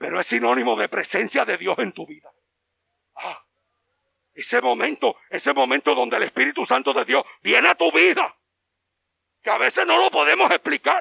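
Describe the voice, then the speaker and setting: This man's voice has a dry, close sound with no echo, moving at a moderate pace. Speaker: pastor. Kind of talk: sermon. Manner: animated.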